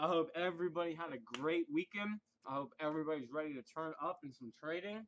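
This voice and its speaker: A man speaks loudly at a very fast pace, his fairly high voice moving with ordinary pitch variation. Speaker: forex trading live stream host. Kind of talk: casual live stream chat. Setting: live stream.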